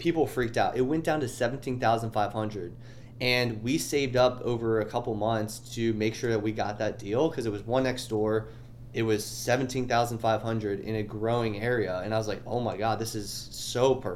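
Delivered at a fairly quick pace with fairly even intonation, the speech carries audible room echo. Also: man, medium pitch for a man. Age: 30s. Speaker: personal finance educator. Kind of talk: interview. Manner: halting, many fillers and restarts.

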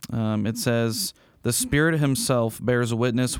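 Man with an ordinary speaking voice, medium pitch, ordinary pitch variation, moderate pace, in a very clean recording with a silent background. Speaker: pastor. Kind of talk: casual chat.

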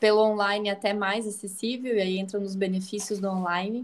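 The recording is very clean, and the background is silent. Intonation stays fairly even. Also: woman. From Brazil, interior of Santa Catarina. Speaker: psychologist. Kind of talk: casual chat.

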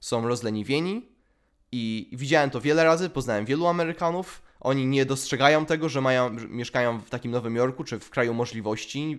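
On a very clean recording with a silent background, a man speaks at a fairly quick pace. His voice is fairly high, with lively intonation. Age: 20s. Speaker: podcast host. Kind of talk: solo monologue. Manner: halting.

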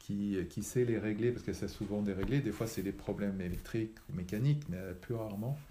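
A man's fairly low, dark and mellow voice comes across somewhat breathy, with ordinary pitch variation. He speaks at a fairly quick pace, and the room echo is audible. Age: 60s. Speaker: retired engineer, repair café founder. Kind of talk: interview. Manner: halting.

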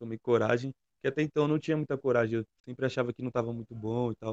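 Recorded with a dry, close sound and no echo, a man talks at a fairly quick pace and medium pitch. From São Paulo east zone, Brazil. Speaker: trap rapper. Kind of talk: casual interview.

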